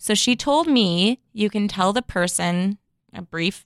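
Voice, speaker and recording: A woman speaks in an ordinary speaking voice with medium pitch and lively intonation. The recording is very clean, with a silent background and a dry, close sound with no echo. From Chicago, US Midwest. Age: 30s. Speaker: podcast host. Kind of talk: casual chat.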